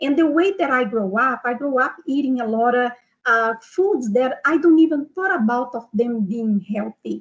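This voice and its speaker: At a moderate pace, a woman with a Brazilian Portuguese accent talks in a high pitch with lively intonation. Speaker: nutrition health coach. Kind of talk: online seminar. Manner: hesitant, many fillers.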